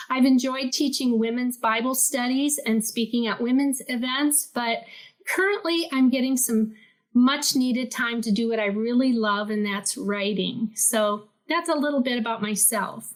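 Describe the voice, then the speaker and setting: Speaking at a moderate pace, a woman uses a high voice with ordinary pitch variation. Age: 60s. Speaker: retired music teacher, pastor's wife. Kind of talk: personal testimony in interview.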